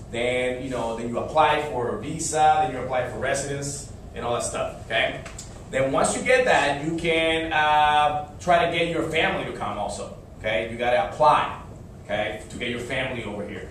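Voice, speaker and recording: In a Spanish accent, a man talks at a moderate pace with a fairly high pitch and ordinary pitch variation. Audible room echo and noticeable background noise come through. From Dominican Republic. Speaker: Spanish teacher. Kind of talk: classroom talk. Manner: hesitant, many fillers.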